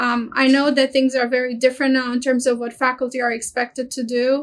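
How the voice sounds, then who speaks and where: A woman speaks with a Romanian accent at a fairly quick pace. Her high voice stays monotone and flat. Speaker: university international office director. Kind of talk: webinar presentation.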